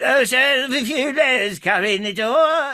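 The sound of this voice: A man puts on a shaky character voice in a Cockney accent, speaking at a fairly slow pace in a raised, projected voice with an extremely high pitch and ordinary pitch variation.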